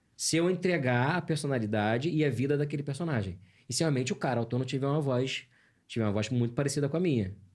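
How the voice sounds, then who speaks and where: A man rattles along at a very fast pace with a fairly high pitch and lively intonation. His voice is somewhat breathy on a very clean recording with a silent background. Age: 40s. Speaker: voice actor. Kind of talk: interview. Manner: animated.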